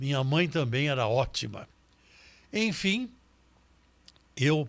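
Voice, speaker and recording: On a very clean recording with a silent background, a man talks at a very slow pace with a fairly high pitch. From Brazil, São Paulo city. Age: 80s+. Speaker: criminal lawyer and jury advocate. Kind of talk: interview conversation.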